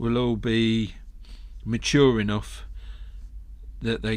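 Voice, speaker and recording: A man speaks at a very slow pace with an English Midlands accent. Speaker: golf podcaster. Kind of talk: casual monologue podcast.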